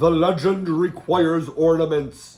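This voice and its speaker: Using a put-on character voice pitched high, a man delivers his lines at a fairly slow pace in a deadpan tone while music plays in the background. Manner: deadpan, robotic.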